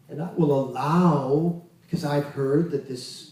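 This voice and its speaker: Noticeable background noise under a fairly high male voice. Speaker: Kundalini yoga teacher. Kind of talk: spiritual lecture.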